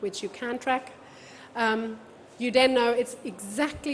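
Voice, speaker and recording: A woman with a non-native accent at a fairly slow pace, against noticeable background noise. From Germany. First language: German. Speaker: event technology speaker. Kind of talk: conference talk.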